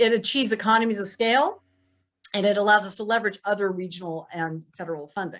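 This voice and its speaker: Fairly quick delivery with ordinary pitch variation, in a very clean recording with a silent background. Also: woman. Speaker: city council member. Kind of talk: prepared policy presentation. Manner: fast.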